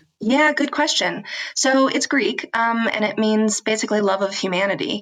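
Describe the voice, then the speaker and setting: Over music in the background, a woman with an American accent speaks at a moderate pace and a fairly high pitch, with very even loudness and ordinary pitch variation. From US, rural Washington State. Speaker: philanthropy advisor, business owner. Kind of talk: podcast interview. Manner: many filler ums.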